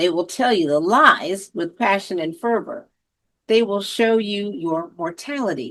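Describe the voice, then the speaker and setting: A woman speaks in a plain, everyday voice at medium pitch and a fairly slow pace. Her intonation is lively, and the background is quiet. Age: 60s. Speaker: senior advocate. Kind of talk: reflective monologue.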